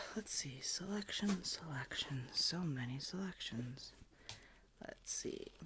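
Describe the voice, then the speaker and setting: The speaker is soft-spoken. The delivery comes at a very slow pace. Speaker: ASMR creator. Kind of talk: casual talk to camera.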